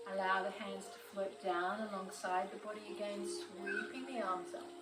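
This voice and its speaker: Music plays in the background as a woman with an Australian accent speaks fairly slowly. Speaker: yoga teacher. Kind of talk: guided yoga class instruction. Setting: outdoors on veranda with birds and water features.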